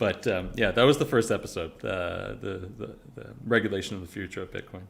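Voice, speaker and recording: A man talks at a fairly quick pace with a fairly low pitch and vocal fry. His loudness swings widely. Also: ordinary pitch variation. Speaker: podcast co-host. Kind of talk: casual chat. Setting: livestream. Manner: halting, repeats words.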